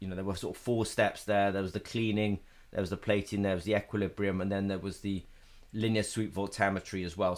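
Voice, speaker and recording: A man speaks fairly quickly at a fairly low pitch with monotone, flat intonation. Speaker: company representative hosting technical webinar. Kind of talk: live technical webinar Q&A. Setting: live online webinar. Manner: fast; hesitant, many fillers. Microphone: webcam.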